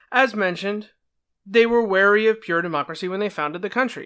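A man with an American accent uses a raised, projected voice with a bright, sharp tone, speaking at a fairly quick pace with ordinary pitch variation on a very clean recording with a silent background. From New Jersey. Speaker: political podcast host. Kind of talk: solo explanatory podcast monologue.

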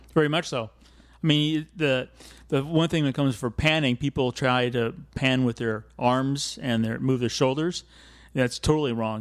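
Fairly even intonation comes in an American accent. The recording is very clean and the background is silent. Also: man. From California. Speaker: wildlife and aviation photographer. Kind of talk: interview conversation. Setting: studio.

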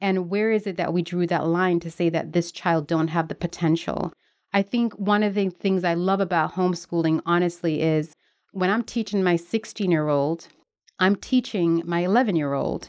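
With an American accent and a plain, everyday voice, a woman speaks at a moderate pace in a fairly low pitch with fairly even intonation, in a very clean recording with a silent background. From Jamaica, then Newark, New Jersey. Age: 30s. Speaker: writer and homeschooling mother. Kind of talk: casual interview.

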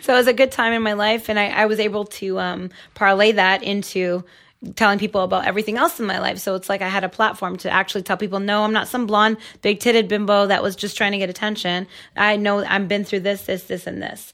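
The delivery is very fast, with monotone, flat intonation. The recording is very clean, the background silent. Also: woman, medium pitch for a woman. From Toronto, Canada. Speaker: webcam model. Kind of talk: casual chat.

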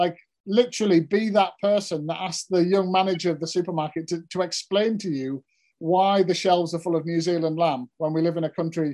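A man with a Cumbrian accent speaks at a high pitch with a dark, mellow tone. His fairly quick delivery keeps fairly even intonation against a quiet background. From Cumbria, northern England. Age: 40s. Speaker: farmer and author. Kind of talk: interview.

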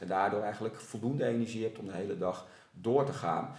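The room echo is audible. Within it, a man speaks at a moderate pace. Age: 40s. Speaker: sports coach. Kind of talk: casual interview. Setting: at a table in the host's home. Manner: animated.

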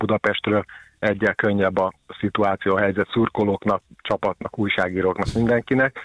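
A man with a fairly low pitch speaks at a fairly quick pace in a monotone, flat intonation. The sound is dry and close with no echo, in a very clean recording with a silent background. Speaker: sports journalist. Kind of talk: casual chat.

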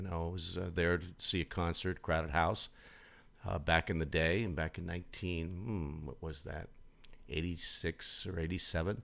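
A man's very deep, low voice at a moderate pace, with fairly even intonation and music in the background. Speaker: internet radio host. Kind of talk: live radio DJ patter between songs. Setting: live internet radio broadcast. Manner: relaxed, friendly, easygoing; chatty, with frequent 'uh' and 'um' fillers.

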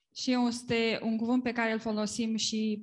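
The speaker sounds somewhat breathy and talks with a Romanian accent. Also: woman. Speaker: interpreter. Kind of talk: live interpretation of a sermon. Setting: church gathering.

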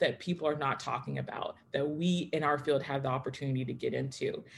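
In an American accent, a woman speaks at a very fast pace with a very deep, low, somewhat breathy voice and ordinary pitch variation. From Texas. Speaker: history doctoral student and former teacher. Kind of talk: panel discussion. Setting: video call. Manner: fast talker.

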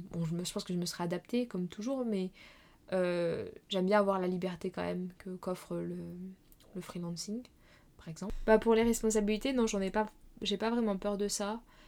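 A woman with a dark, mellow tone speaks with long, frequent pauses. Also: medium pitch for a woman, fairly even intonation, moderate pace, very clean recording, silent background. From France, Normandy. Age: 20s. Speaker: illustrator and master's student. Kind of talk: casual interview. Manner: halting, many fillers.

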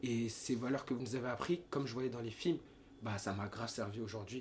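A man with a medium pitch speaks at a moderate pace, somewhat breathy and with fairly even intonation. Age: 20s. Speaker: professional dancer and model. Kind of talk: casual chat.

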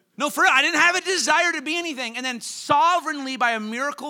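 A man speaks in a raised, projected voice with a bright, sharp tone. His delivery is animated, with lively intonation. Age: 30s. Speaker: guest preacher. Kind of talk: sermon.

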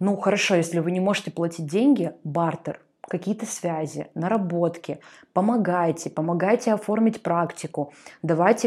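A dark, mellow tone at a moderate pace with ordinary pitch variation, on a very clean recording with a silent background. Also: woman. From Russian Far East, Artyom (Primorsky Krai). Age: 20s. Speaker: media expert and magazine editor. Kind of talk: podcast interview.

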